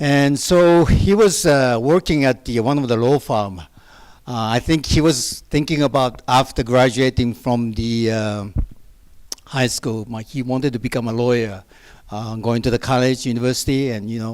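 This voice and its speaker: The speaker has a Japanese accent. The recording is very clean, with a silent background. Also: man, medium pitch for a man, ordinary pitch variation, moderate pace. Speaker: pastor. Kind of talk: testimony. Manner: soft-spoken; halting.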